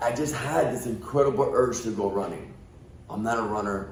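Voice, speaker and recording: Amid noticeable background noise and audible room echo, a man speaks fairly quickly at medium pitch. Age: 50s. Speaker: podcast guest. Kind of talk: casual chat.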